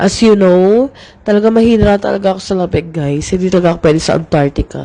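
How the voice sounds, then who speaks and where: A woman's dark, mellow, medium-pitched voice at a very fast pace, with ordinary pitch variation. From Philippines. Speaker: makeup artist vlogger. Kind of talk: casual vlog.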